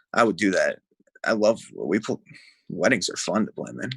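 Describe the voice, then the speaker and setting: A speaker with a New Jersey accent talks at a fairly quick pace in a dry, close sound with no echo. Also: man. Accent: full Jersey. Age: 20s. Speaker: musician. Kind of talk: casual chat.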